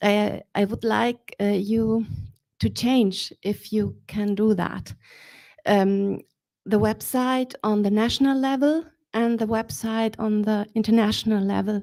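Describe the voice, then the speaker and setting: In a very clean recording with a silent background, a woman with a dark, mellow tone and fairly high pitch talks at a fairly slow pace with fairly even intonation. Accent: non-native. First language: not English. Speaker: audience member. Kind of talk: audience question. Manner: halting.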